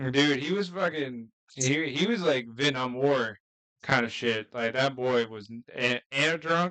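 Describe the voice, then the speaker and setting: This man speaks with an American accent at a fairly slow pace. His pitch is medium and his tone bright and sharp. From US South. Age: 20s. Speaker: podcast co-host. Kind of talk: casual chat. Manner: casual, swears a lot.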